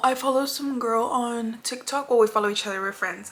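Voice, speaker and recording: A woman talks over noticeable background noise. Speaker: beauty vlogger. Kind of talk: makeup tutorial.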